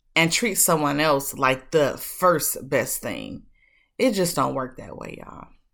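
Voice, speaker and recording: With vocal fry and a very deep, low pitch, a woman speaks fairly slowly, her loudness swinging widely while her pitch varies in an ordinary way, on a very clean recording with a silent background. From Detroit, Michigan. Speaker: podcast host. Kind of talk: motivational monologue. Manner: casual, warm.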